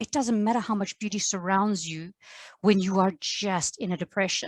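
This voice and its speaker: With an American accent, a woman speaks at a medium pitch. The very clean recording has a silent background and a dry, close sound with no echo. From South Africa. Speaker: podcast host and English teacher. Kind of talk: casual chat.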